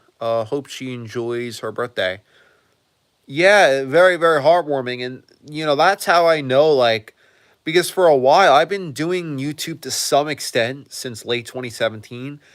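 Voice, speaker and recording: The speech moves at a moderate pace with ordinary pitch variation and big swings in loudness. The recording is very clean, with a silent background. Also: man, fairly high pitch for a man. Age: 20s. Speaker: streamer, aspiring actor. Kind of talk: casual live stream chat. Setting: live stream. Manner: halting.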